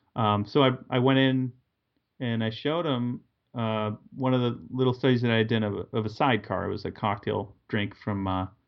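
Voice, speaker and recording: A man's normal speaking voice at medium pitch, fairly quick, with fairly even intonation. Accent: American. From Massachusetts, New England. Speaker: painter and art teacher. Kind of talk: casual interview chat.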